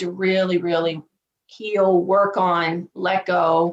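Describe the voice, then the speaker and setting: This is a woman's voice. She talks in a strong Southern US accent. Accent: thick Southern US. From US South, Virginia. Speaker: divorce coach. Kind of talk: podcast interview.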